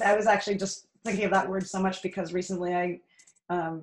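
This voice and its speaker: Fairly quick speech with an American accent. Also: woman. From Canada. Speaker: actor, dancer and podcast guest; podcast guest. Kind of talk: casual interview chat. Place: home room.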